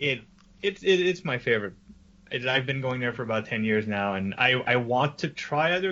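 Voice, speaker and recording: At a moderate pace and medium pitch, a man speaks in an ordinary speaking voice with lively intonation. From French Canada. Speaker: podcast co-host. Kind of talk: casual chat.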